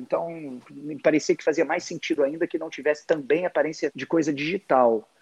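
A man speaks at a fairly quick pace in a high pitch, with a dry, close sound and no echo. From Rio de Janeiro, Brazil. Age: 40s. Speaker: comic artist. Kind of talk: interview.

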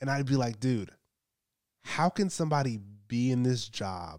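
A man's medium-pitched voice with an American accent, lively intonation and a fairly slow pace, on a very clean recording with a silent background. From Los Angeles, US. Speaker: business consultant, former police officer. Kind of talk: casual interview chat.

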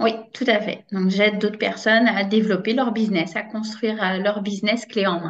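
The voice is somewhat breathy, with monotone, flat intonation. It runs on with hardly any pauses. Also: woman, fairly high pitch for a woman, moderate pace. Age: 30s. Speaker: network marketing coach, former teacher. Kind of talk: interview testimony.

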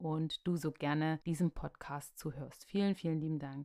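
The voice has a dark, mellow tone and ordinary pitch variation at a moderate pace. The recording is very clean, with a silent background. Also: woman. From Saxony, Radebeul near Dresden. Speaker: podcast host. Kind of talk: solo podcast monologue.

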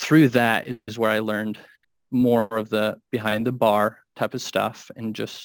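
On a very clean recording with a silent background and a dry, close sound with no echo, a man with an American accent speaks at a fairly slow pace and medium pitch in a monotone, flat intonation. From rural Minnesota. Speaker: coffee roaster and cafe owner. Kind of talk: casual interview.

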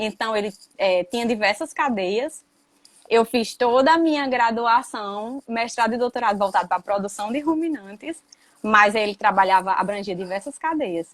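A woman speaks in an unremarkable speaking voice at a moderate pace. Her pitch is fairly high, with ordinary pitch variation. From Brazilian Northeast, Rio Grande do Norte backlands. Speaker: university professor. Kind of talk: online live talk, interview. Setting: live stream.

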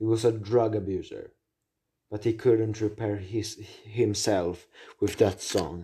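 A man with a non-native accent speaks in a monotone, flat way, his dark, mellow tone somewhat breathy, with long, frequent pauses. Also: fairly low pitch for a man. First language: not English. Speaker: solo podcast host. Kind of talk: casual monologue, anime ranking. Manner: halting, many fillers and restarts.

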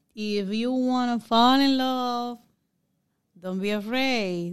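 A woman's fairly high voice at a very slow pace, on a very clean recording with a silent background. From Dominica. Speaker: doctor, host's wife. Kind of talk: casual chat.

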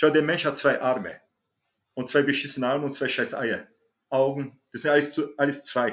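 A man with a fairly high pitch talks at a very fast pace with fairly even intonation. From Germany. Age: 40s. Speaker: martial arts instructor. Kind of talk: interview.

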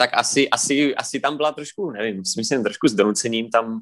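This man has a normal speaking voice. He keeps a moderate pace with ordinary pitch variation. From Czechia, Prostějov region (Moravia). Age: 20s. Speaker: chimney sweep. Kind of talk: interview.

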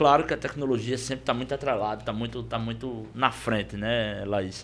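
A man talks at a medium pitch with ordinary pitch variation. His voice carries vocal fry. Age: 30s. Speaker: lawyer and podcast host. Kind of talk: panel discussion moderation.

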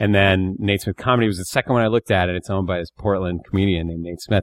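In a normal speaking voice, a man with an American accent talks at a fairly low pitch with ordinary pitch variation. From Northeast Pennsylvania, US. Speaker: comedian and actor. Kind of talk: casual interview.

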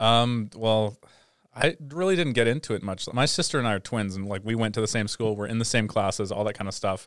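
In a very clean recording with a silent background, a man speaks at a fairly quick pace with a medium pitch and ordinary pitch variation. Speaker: VR producer. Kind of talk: casual chat. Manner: soft-spoken.

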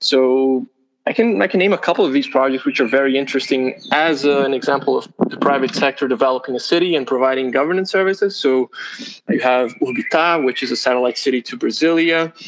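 Using a fairly high pitch with ordinary variation, a man with a Brazilian accent speaks at a very fast pace. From southern Brazil. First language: Portuguese. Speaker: startup executive. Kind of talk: interview.

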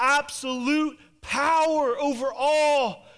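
A man speaks at an extremely high pitch. His pitch varies in an ordinary way. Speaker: pastor. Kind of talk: sermon; fervent prayer. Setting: church. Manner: earnest, pleading, impassioned.

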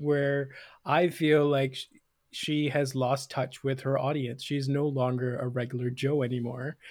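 A man with a Canadian accent and a normal speaking voice, fairly high in pitch, at a fairly slow pace. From Canada, Scarborough, Toronto. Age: 30s. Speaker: comedian. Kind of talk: casual chat. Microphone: good podcast microphone.

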